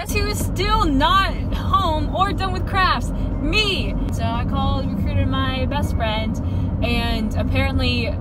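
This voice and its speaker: Over background music, a woman speaks very slowly in a dry recording with no echo. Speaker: vlogger driver. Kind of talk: casual vlog chat. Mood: playful, exasperated. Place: car.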